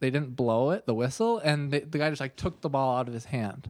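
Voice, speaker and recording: Fairly high in pitch, a man with an American accent has an unremarkable speaking voice and ordinary pitch variation at a fairly quick pace. The recording is very clean with a silent background. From Minnesota. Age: 30s. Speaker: podcast host and golf coach. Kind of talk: casual chat.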